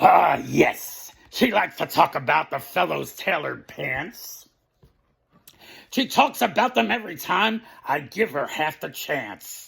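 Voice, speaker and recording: A man performs a raspy, put-on character voice with a fairly high pitch. He moves at a fairly slow pace with very wide pitch swings. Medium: read story. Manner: breezy, talkative.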